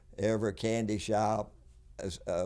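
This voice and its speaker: A dark, mellow tone with a Tennessee accent on a very clean recording with a silent background. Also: man. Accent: Southern US (Tennessee). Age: 80s+. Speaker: businessman. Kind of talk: interview. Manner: halting.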